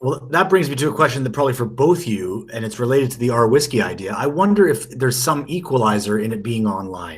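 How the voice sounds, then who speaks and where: A very fast man at a medium pitch, with lively intonation. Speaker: podcast co-host, whisky expert. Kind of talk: casual podcast discussion. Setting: remote call.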